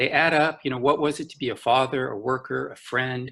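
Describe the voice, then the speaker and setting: The voice carries vocal fry. Its tone is bright and sharp. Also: man. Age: 60s. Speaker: art consultant and art historian. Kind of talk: panel discussion.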